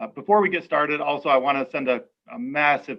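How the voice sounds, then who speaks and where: Lively intonation marks a man's normal speaking voice. He keeps a moderate pace. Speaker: school superintendent. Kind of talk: public information forum presentation. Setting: video call.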